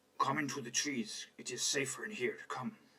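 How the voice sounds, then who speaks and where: Putting on a character voice, a man talks at a moderate pace with a raspy, fairly high pitch. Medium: actual play. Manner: hushed, urgent.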